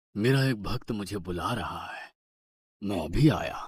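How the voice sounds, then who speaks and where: Putting on a cartoonish character voice, a man speaks at a moderate pace in a raspy, fairly low tone. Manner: calm, serene.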